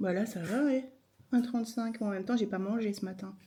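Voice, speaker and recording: A woman with fairly high pitch, ordinary pitch variation and a fairly quick pace. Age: 50s. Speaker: chronic illness vlogger. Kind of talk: casual vlog talk to camera.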